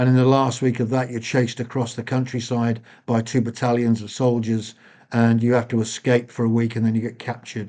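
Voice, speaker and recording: A man speaks fairly quickly in a British accent at a medium pitch. The background is quiet. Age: 60s. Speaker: former special forces soldier. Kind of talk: interview.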